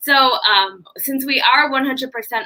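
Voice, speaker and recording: A woman with an American accent speaks in a raised, projected voice at a high pitch. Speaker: university staff host of live event. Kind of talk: live interview / presentation. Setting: live online video stream.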